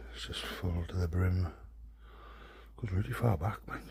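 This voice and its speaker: With noticeable background noise and audible room echo, a man in a Welsh accent speaks fairly slowly at a very deep, low pitch with lively intonation. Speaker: urban explorer vlogger. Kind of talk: casual vlog commentary. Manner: whispering.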